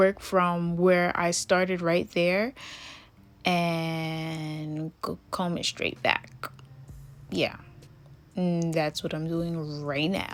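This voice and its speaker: In a Jamaican accent, a woman speaks at a very slow pace with long, frequent pauses, using a fairly low pitch and monotone, flat intonation. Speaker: hair and wig tutorial creator. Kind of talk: tutorial. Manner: casual, chatty.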